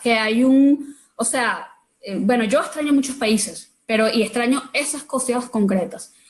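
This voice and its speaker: Here a woman speaks with a Venezuelan accent. Her pitch is high. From Venezuela, Caracas. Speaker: artist. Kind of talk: casual chat. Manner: halting.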